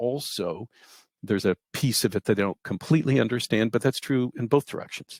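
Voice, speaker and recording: A man talks at a very fast pace with ordinary pitch variation. The very clean recording sounds dry and close, with no echo and a silent background. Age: 60s. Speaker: database researcher and engineer. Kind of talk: interview.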